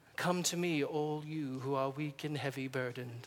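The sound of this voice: A man's fairly high, put-on character voice at a moderate pace over clear background noise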